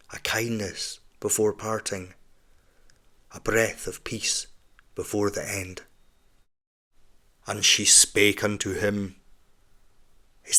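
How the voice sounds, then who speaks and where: Strained yet gentle and calm in tone, a man speaks very slowly in a fairly low voice, with long, frequent pauses and big swings in loudness. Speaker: audiobook narrator. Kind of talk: audiobook narration. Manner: gentle, restrained; calm, melancholic.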